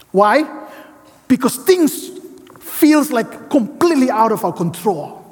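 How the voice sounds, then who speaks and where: Noticeable background noise sits behind a man's voice. His pitch is extremely high, and his intonation is lively. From Indonesia. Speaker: seminary professor and guest preacher. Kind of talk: sermon. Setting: church with congregation.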